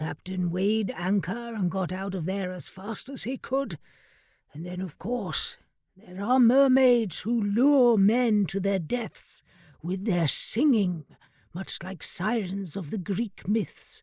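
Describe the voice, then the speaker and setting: The voice is a put-on character voice pitched in the middle. Its delivery is fairly slow. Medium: read story. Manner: grave, measured storyteller.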